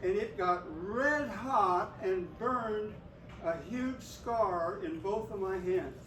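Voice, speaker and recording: A man with an American accent speaks at a high pitch with lively intonation. Noticeable background noise and audible room echo are present. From US West (Oklahoma, then California). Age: 80s+. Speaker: grandfather teaching a school class. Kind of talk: classroom demonstration. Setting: elementary school classroom.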